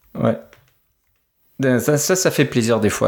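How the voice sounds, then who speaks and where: A man is speaking here. His pace is fairly slow. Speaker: tech podcast co-host. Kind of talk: casual tech chat.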